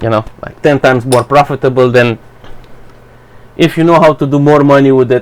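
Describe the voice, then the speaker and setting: Over noticeable background noise, a man with a Romanian accent speaks at medium pitch with fairly even intonation, moving at a fairly quick pace broken by long, frequent pauses. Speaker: YouTuber. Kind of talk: personal opinion rant to camera. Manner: halting, hesitant.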